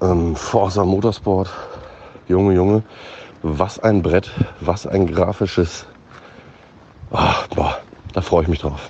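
Amid noticeable background noise, a man with a very deep, low pitch speaks at a very slow pace with fairly even intonation and long, frequent pauses. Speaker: gaming commentator. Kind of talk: voice message. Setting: outdoors, walking to bakery.

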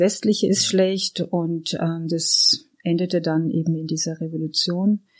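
Fairly slow speech from a woman, dark and mellow in tone. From Iran. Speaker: artist and art therapist. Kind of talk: casual interview chat.

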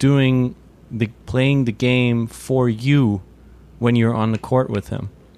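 A man speaks at a medium pitch and a fairly slow pace, his intonation flat and monotone. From Germany. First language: German. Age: 30s. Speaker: podcast host and journalist. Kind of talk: interview. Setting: video call.

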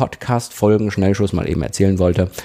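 A man does the talking. His voice carries a dark, mellow tone. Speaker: podcast host and radio presenter. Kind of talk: solo podcast tips talk.

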